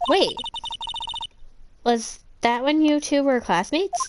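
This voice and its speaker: A female-sounding voice uses a put-on character voice pitched high. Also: fairly slow pace. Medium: game stream. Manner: bright, chatty.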